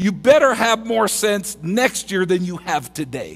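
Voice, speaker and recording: The man talks at a fairly slow pace. His pitch shows ordinary variation. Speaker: preacher. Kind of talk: sermon. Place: church. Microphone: headset.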